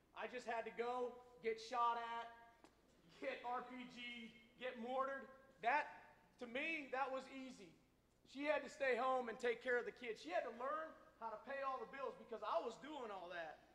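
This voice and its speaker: A loud, bright, sharp voice at a moderate pace, with ordinary pitch variation and long, frequent pauses. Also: man, extremely high pitch for a man. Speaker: army veteran and guest speaker. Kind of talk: speech to school audience. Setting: school assembly with audience.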